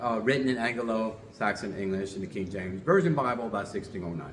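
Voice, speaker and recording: A man talks with lively intonation amid noticeable background noise and audible room echo. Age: 60s. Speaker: religious teacher and show host. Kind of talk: lecture. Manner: halting.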